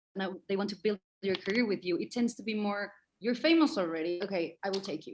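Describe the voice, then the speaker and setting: A woman with a Spanish accent talks at a very fast pace and a medium pitch, with lively intonation. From Mexico City. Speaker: actor and director. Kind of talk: interview. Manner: halting.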